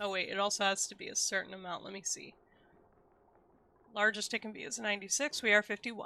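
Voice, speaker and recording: A woman's bright, sharp voice at a very fast pace, broken by long, frequent pauses. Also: medium pitch for a woman. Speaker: game streamer. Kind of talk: casual live stream chat. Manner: stumbles over words.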